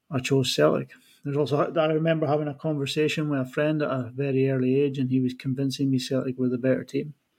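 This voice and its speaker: In a Scottish Highland accent, the speech runs very fast in a flat monotone on a very clean recording with a silent background. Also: man, fairly high pitch for a man. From far north of Scotland. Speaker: football fan. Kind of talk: casual chat.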